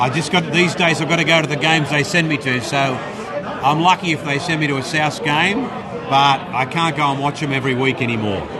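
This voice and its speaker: With an Australian accent, a man talks at a fairly quick pace with hardly any pauses, his fairly high pitch showing ordinary variation, amid audible room echo and noticeable background noise. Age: 60s. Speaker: radio presenter and rugby league commentator. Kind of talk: casual interview. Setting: live event at a club luncheon.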